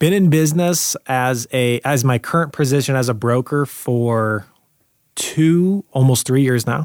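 A man speaks in a plain, everyday voice at a fairly slow pace and medium pitch, with ordinary pitch variation and very even loudness. The sound is dry and close with no echo. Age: 20s. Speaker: real estate broker and entrepreneur. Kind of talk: casual interview chat.

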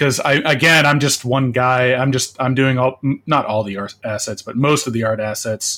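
Bright and sharp in tone, a man speaks at a medium pitch. His pace is moderate and his intonation fairly even. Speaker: indie game artist. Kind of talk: interview.

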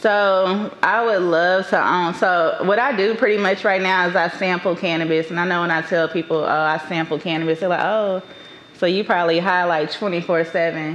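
A woman speaks at a moderate pace and fairly low pitch, with fairly even intonation and very even loudness. Noticeable background noise is present. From Dallas, Texas (Oak Cliff) and Atlanta, Georgia. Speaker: entrepreneur in cannabis and bookstore business. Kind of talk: casual interview chat.

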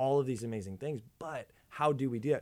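At a fairly quick pace, a man speaks in a normal speaking voice with ordinary pitch variation. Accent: American. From Minnesota, US. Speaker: youth pastor. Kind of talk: casual chat.

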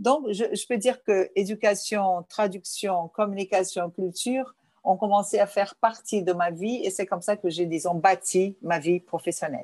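Against a quiet background, a woman with a Portuguese accent and a medium pitch speaks at a fairly slow pace with hardly any pauses. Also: ordinary pitch variation. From Brazil, Rio de Janeiro, Lebanese family. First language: Portuguese (speaking French). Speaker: journalist and cultural association president. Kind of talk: interview. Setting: remote interview from home.

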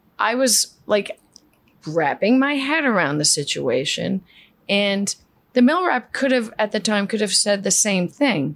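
Slow-paced with very wide pitch swings, a woman with a medium pitch speaks in a New York accent. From New York City (Queens). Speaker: flooring company CEO. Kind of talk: interview.

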